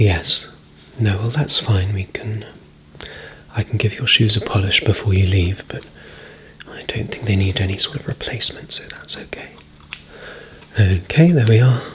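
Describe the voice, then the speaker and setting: Soft-spoken whispering at a moderate pace, with long, frequent pauses and noticeable background noise. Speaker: ASMR creator playing a men's stylist. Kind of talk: ASMR role-play, soft-spoken personal stylist talking to the listener. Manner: soft-spoken, whispering, relaxing.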